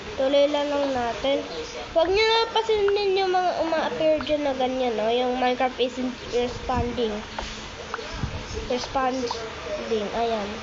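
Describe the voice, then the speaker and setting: In a room with audible echo and noticeable background noise, a woman speaks at a very slow pace in a high voice, her pitch swinging very widely while her loudness stays very even. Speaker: Minecraft gaming YouTuber. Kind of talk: gameplay commentary. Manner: casual, chatty. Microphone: phone mic, lagging.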